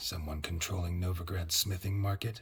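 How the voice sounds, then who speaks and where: Putting on a character voice, a man speaks very deep and low in a deadpan tone at a moderate pace. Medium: video game. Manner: terse, deadpan.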